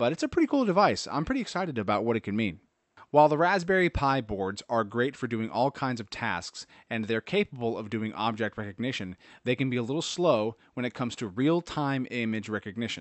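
A man with an unremarkable speaking voice and a medium pitch talks at a fairly quick pace with lively intonation. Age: 30s. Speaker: tech podcast host. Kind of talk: solo podcast commentary.

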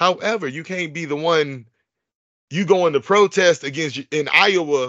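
A man speaks in a high pitch with a bright, sharp tone and an American accent. His pitch varies in an ordinary way over a quiet background. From Chicago suburbs, Illinois. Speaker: podcast host. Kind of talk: casual chat. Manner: fast-talking; animated, frequent laughter.

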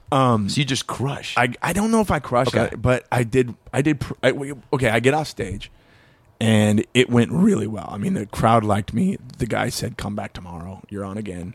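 With an American accent, a man speaks in a plain, everyday voice at a medium pitch and moderate pace with lively intonation. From Long Beach, California. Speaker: comedian. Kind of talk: casual chat.

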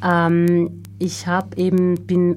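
Noticeable background noise surrounds this recording. A woman with a Finnish accent speaks in a very deep, low pitch. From Finland. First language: Finnish (speaking German). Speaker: singer. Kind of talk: interview. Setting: studio. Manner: halting.

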